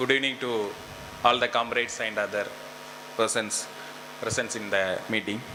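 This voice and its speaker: With a Tamil accent, a man speaks at a moderate pace in a monotone, flat way, leaving long, frequent pauses, amid noticeable background noise and audible room echo. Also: medium pitch for a man. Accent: Tamil-accented Indian English. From India, Tamil Nadu. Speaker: political activist delegate. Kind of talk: conference speech. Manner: halting.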